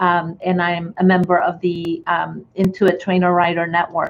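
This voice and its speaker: The pace is fairly slow. A woman talks at a medium pitch. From Chile. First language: Spanish. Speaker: accountant and bookkeeping trainer. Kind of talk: webinar presentation. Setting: online webinar. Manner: hesitant, many ums and restarts.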